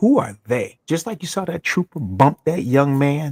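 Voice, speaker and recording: Dry and close with no echo, a man's fairly high voice moves at a moderate pace in an animated tone. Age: 60s. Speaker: former college football player, sports show guest. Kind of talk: casual sports talk show chat. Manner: animated, emphatic.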